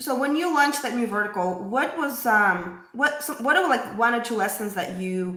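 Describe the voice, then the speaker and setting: Lively intonation from a woman at a moderate pace, with audible room echo. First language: not English. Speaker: podcast host. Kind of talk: interview. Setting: live stream.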